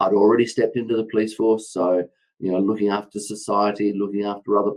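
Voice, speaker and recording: A man with an Australian accent at a very fast pace, fairly low in pitch, with monotone, flat intonation. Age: 60s. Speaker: former police officer and public speaker. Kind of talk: podcast interview.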